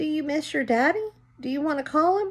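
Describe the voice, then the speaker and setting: Putting on a character voice, a woman speaks at a high pitch and a fairly quick pace. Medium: read story. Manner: gentle, warm.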